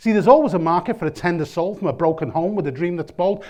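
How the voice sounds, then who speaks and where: Over a quiet background, a man with a Liverpool accent speaks at a very fast pace. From Liverpool, England. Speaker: performance poet. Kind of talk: spoken word poetry. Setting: lecture theatre with audience. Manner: rhythmic.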